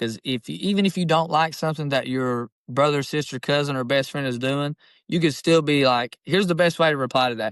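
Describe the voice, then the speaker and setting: Against a quiet background, a man with an Appalachian accent and a fairly high pitch talks at a fairly quick pace with hardly any pauses and ordinary pitch variation, in a dry, close sound with no echo. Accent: Appalachian Southern US. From Eastern Kentucky. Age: 20s. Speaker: rapper. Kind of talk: casual chat. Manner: rambling.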